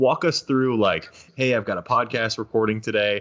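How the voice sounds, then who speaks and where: Against a quiet background, a man with a plain, everyday voice talks at a moderate pace and a medium pitch. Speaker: podcast host. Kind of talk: casual chat.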